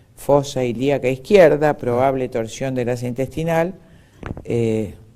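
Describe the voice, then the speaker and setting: A man has an unremarkable speaking voice, medium in pitch, moving at a fairly slow pace with ordinary pitch variation. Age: 60s. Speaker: doctor. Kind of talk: interview.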